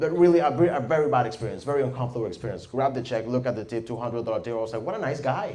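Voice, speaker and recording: A man with a Venezuelan accent at a medium pitch, very fast pace and lively intonation, over noticeable background noise. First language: Spanish. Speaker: stand-up comedian. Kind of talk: stand-up comedy set.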